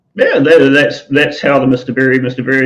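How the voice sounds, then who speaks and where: A man with a New Zealand accent. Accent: New Zealand, often taken for English. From New Zealand, Auckland. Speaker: talk show co-host. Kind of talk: live online talk show.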